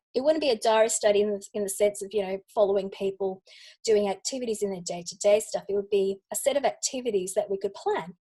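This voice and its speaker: A woman with an Australian accent, fairly high in pitch, fairly quick in pace, with ordinary pitch variation. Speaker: UX researcher. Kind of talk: lightning talk presentation.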